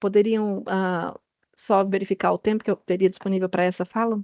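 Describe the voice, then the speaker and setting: A woman speaks at medium pitch against a quiet background. The sound is dry and close, with no echo. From Brazil. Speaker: health regulatory agency director. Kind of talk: panel presentation. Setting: video call. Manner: halting; slow.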